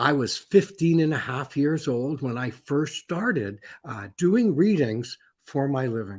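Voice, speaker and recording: In a very clean recording with a silent background, a somewhat breathy man speaks at a fairly high pitch with very wide pitch swings. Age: 70s. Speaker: professional psychic. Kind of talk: conference talk. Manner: halting.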